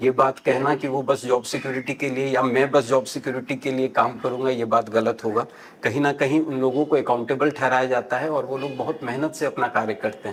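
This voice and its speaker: A man with a Bihar accent, medium pitch, fairly even intonation and hardly any pauses. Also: moderate pace. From Mithila region, Bihar (Darbhanga). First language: Maithili (speaking Hindi). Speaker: civil service exam candidate. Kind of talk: mock job interview. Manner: hesitant, many filler sounds; formal, polite.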